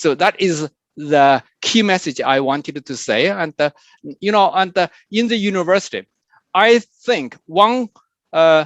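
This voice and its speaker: The sound is dry and close with no echo. A man with a high pitch and lively intonation speaks at a fairly slow pace, pausing long and often. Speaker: computer science professor, keynote speaker. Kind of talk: keynote lecture with Q&A. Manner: halting, many fillers.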